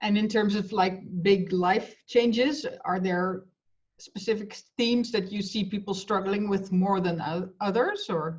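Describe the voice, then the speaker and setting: A woman talks at a fairly slow pace and a medium pitch. Her voice is somewhat breathy, with fairly even intonation. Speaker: interviewer. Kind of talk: interview.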